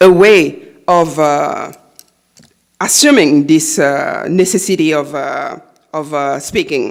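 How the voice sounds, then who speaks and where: This is a very clean recording with a silent background. The speaker has a Haitian accent. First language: Haitian Creole / French. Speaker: novelist. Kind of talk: lecture. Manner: halting, many fillers.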